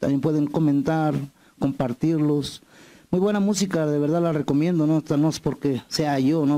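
The tone is dark and mellow. The background is quiet. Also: man. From Mexico, Morelos. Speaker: singer-songwriter. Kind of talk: interview. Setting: TV studio set. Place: studio. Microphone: handheld.

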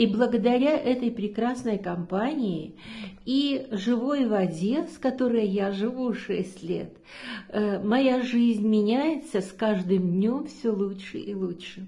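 A woman speaks very slowly at a fairly high pitch, with ordinary pitch variation. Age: 70s. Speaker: product testimonial giver, yoga trainer. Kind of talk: testimony. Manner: hesitant, with filler sounds. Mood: warm, enthusiastic, grateful. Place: home room. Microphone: phone near.

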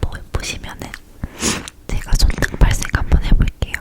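Fairly slow whispering from a woman, with noticeable background noise behind her. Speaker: ASMR creator. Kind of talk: casual product-review chat to camera. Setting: recorded at home with a condenser mic. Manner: whispered, soft.

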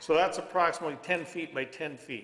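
Amid audible room echo, a man talks at a moderate pace with a fairly high pitch. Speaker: applicant representative. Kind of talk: formal presentation to a board. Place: meeting room. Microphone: camera far.

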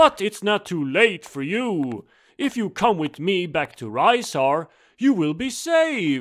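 Putting on a character voice, a high-pitched man speaks at a fairly slow pace with very wide pitch swings. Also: very clean recording, silent background. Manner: persuasive, grandiose, turning menacing.

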